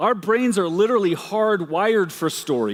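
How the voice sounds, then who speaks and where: A man speaks at a high pitch with very wide pitch swings. His tone is energetic and his pace moderate. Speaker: anthropologist and keynote speaker. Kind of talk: keynote speech to a live audience. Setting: conference stage. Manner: energetic, conversational, engaging.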